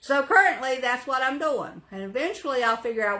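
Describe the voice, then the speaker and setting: A woman speaks with an Appalachian accent and lively intonation. Her tone is bright and sharp. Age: 60s. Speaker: craft YouTuber. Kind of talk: casual vlog chat. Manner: chatty, rambling casual delivery.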